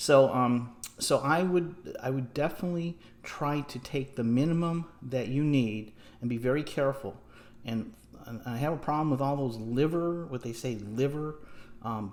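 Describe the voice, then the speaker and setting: This man talks at a moderate speed in a fairly high register, his pitch shifting in an ordinary way. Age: 60s. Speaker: fitness vlogger, strength trainer. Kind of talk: casual monologue, advice talk. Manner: halting, many fillers and restarts.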